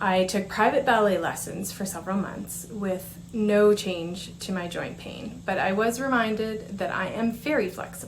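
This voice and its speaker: Noticeable background noise sits behind speech delivered at a moderate pace with fairly even intonation. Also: woman, medium pitch for a woman. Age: 40s. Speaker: patient speaker. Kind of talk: prepared conference presentation. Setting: conference presentation. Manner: formal.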